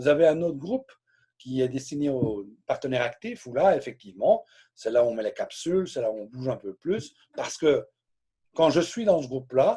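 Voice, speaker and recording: A man with a fairly high, somewhat breathy voice and a dark, mellow tone speaks at a moderate pace with lively intonation and long, frequent pauses. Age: 60s. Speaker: direct sales trainer. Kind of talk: live training session. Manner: hesitant, repeats words.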